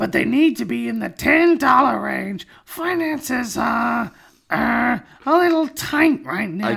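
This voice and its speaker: A man delivers his lines fairly slowly in a put-on character voice. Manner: put-on, exaggerated.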